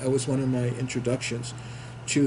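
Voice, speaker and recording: A man's medium-pitched voice with an American accent, flat monotone intonation and audible room echo. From New York City. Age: 70s. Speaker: war veteran. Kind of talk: interview. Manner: halting.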